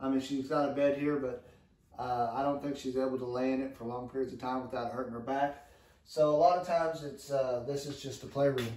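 A dark, mellow tone moves at a fairly quick pace with little pitch movement. Audible room echo surrounds it. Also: man, medium pitch for a man.

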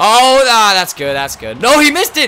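With noticeable background noise, a man talks at a fairly quick pace, his pitch swinging very widely. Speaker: gaming YouTuber. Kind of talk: gameplay commentary. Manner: excitable, animated.

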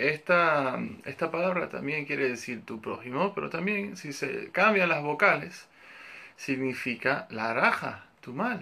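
The man's tone is bright and sharp, and his loudness swings widely. He talks at a fairly slow pace. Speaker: religious teacher. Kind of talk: lecture. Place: home room. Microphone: phone near.

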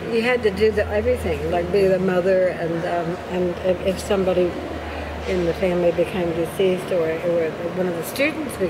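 A fairly quick pace comes through over noticeable background noise. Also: woman. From Miami, United States. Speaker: documentary photographer. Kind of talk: casual conversation. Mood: reflective, emotional. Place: cafe. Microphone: phone near.

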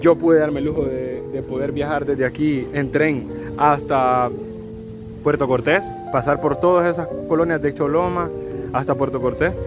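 At a moderate pace with long, frequent pauses, the speech sounds dry with no echo while clear music plays in the background. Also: man, ordinary pitch variation. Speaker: travel vlogger. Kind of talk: casual vlog chat. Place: street. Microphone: phone near.

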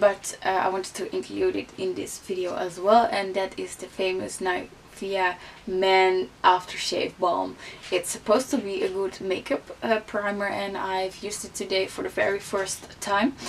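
With a Dutch accent, a woman talks at a moderate pace in fairly even intonation over light background noise. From Netherlands. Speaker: beauty vlogger. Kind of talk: casual vlog talk. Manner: hesitant, many fillers. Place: home room.

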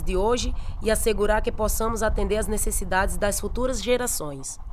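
At a fairly quick pace, a woman talks in an ordinary speaking voice with ordinary pitch variation. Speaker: professional footballer. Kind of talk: public service campaign narration.

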